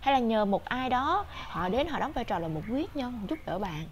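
Using an animated tone and very wide pitch swings, a woman speaks at a moderate pace with a high pitch over light background noise. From Vietnam. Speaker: tarot reader. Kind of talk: tarot reading monologue.

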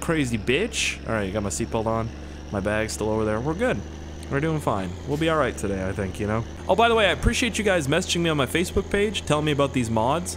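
With noticeable background noise around him, a man talks at a very fast pace with very wide pitch swings. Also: medium pitch for a man. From Canada, Nova Scotia. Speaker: gaming YouTuber. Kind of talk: let's play commentary. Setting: home recording. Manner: casual, joking.

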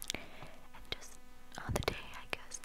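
Someone whispers in a soft-spoken way. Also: woman. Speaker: content creator. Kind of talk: soft close-mic ASMR chat. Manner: soft close ASMR whisper. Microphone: lapel.

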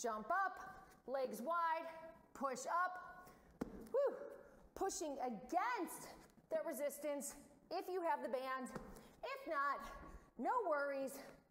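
A woman speaks in a high pitch at a very slow pace, with long, frequent pauses. There is audible room echo and light background noise. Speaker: fitness instructor. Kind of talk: workout instruction. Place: gym.

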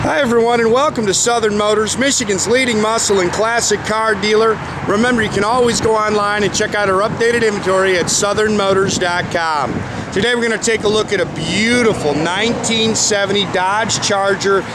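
At a moderate pace, the voice has a dry sound with no echo against noticeable background noise. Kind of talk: sales walkaround commentary. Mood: enthusiastic. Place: street.

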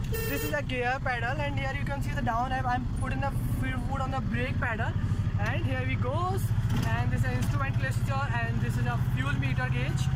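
Delivered at a moderate pace, the speech has a dry sound with no echo against loud background noise. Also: man. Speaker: vehicle vlogger driving. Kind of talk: casual vlog review. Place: car.

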